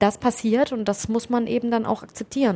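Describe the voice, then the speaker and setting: At a moderate pace, a woman with a dark, mellow tone speaks with fairly even intonation on a very clean recording with a silent background. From Germany. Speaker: foreign correspondent. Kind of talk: interview.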